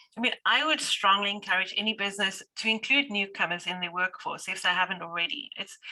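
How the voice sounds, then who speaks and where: A woman at a very fast pace in a South African accent, medium in pitch, with ordinary pitch variation and hardly any pauses. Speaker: business owner or manager. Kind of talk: panel discussion. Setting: video call.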